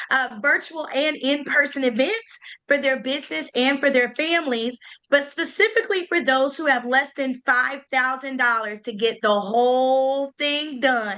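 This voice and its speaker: A woman with a Southern US accent speaks in a raised, projected voice at a high pitch. Her pace is fairly slow, and her pitch variation is ordinary. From US South, Greensboro, North Carolina. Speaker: event planner. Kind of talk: online panel discussion.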